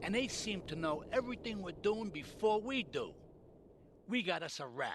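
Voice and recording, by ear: Using a put-on character voice, a man speaks high with big pitch swings and a slightly husky edge. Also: moderate pace.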